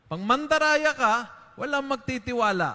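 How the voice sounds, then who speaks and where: Against a quiet background, a man projects a raised voice at a moderate pace with ordinary pitch variation. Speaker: priest. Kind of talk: homily. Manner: emphatic, punchy and conversational; Taglish, direct and moralizing. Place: church. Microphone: handheld.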